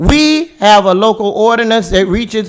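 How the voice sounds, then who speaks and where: A loud man with a high pitch at a fairly slow pace. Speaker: city commissioner. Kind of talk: heated debate. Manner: animated.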